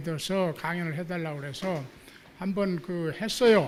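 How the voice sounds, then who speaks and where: There is audible room echo as a man talks at a high pitch with ordinary pitch variation. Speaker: theology professor. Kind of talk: lecture. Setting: church hall with audience. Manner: halting with many fillers.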